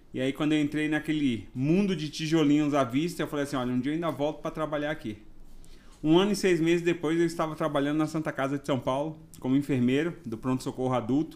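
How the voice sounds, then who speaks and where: On a very clean recording with a silent background, a man speaks very fast with fairly even intonation in a Bahian accent. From Bahia, Brazil (Ilhéus region). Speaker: nurse and nursing council president. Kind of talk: podcast interview.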